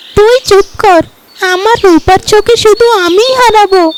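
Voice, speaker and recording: A cartoonish character voice at an extremely high pitch moves along at a fairly slow pace. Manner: squabbling, childish.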